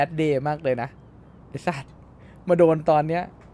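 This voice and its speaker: Fairly high in pitch with ordinary variation, this man's voice has a dark, mellow tone. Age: 30s. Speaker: gaming streamer. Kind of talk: live game roleplay stream. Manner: animated.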